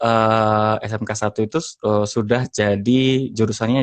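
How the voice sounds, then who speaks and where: Delivered at a fairly slow pace, a man's medium-pitched voice keeps a fairly even intonation. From Indonesia, Central Java (Semarang). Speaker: podcaster and former radio announcer. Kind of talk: podcast interview. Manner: hesitant with frequent fillers.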